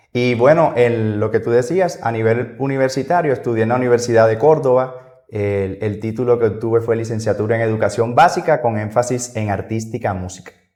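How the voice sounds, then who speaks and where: A man talks at a fairly quick pace with hardly any pauses. His pitch is medium, with ordinary pitch variation. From Colombia. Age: 30s. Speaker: music teacher. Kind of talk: podcast interview.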